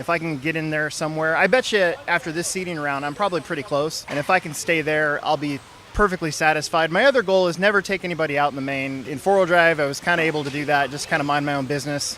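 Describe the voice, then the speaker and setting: Over noticeable background noise, a man speaks very fast with hardly any pauses. His pitch is fairly high with ordinary variation. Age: 40s. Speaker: RC car racer. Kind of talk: interview.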